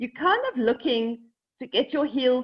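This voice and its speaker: Here a woman talks at a moderate pace. Her pitch varies in an ordinary way. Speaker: yoga teacher. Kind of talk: guided yoga class instruction. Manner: shaky while teaching this pose.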